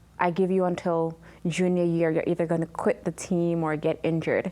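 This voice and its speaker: A woman with an unremarkable speaking voice talks at a moderate pace and a fairly low pitch. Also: very clean recording, silent background. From Jamaica, then New York from age six. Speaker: trafficking survivor and advocate. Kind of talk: interview testimony.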